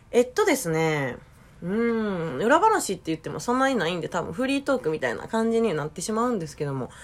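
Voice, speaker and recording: With a Kansai accent, a woman speaks at a fairly quick pace, her pitch swinging very widely. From Japan, Osaka. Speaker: podcast host. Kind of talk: casual chat.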